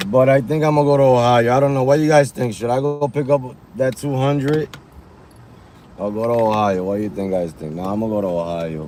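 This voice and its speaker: A man at medium pitch talks at a very fast pace with lively intonation while noticeable background noise carries on. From New York. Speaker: rideshare driver streamer. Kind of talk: live stream chat. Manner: loud; animated.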